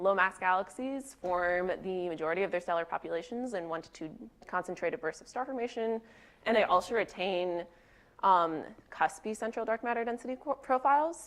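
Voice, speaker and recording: Against a quiet background, a woman with an unremarkable speaking voice talks fairly quickly at medium pitch. Her intonation is lively and her loudness swings a lot. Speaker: researcher presenting a talk. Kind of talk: conference talk.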